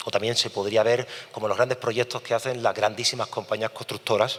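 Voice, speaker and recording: Flat, monotone intonation runs through speech delivered at a fairly quick pace. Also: man. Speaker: engineer, project coordinator. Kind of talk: conference talk. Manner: fast.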